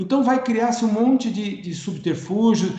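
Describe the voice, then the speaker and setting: A man talks at a high pitch with ordinary pitch variation. Audible room echo and noticeable background noise are present. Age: 60s. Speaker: economist and cooperative consultant. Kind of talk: webinar lecture. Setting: online webinar.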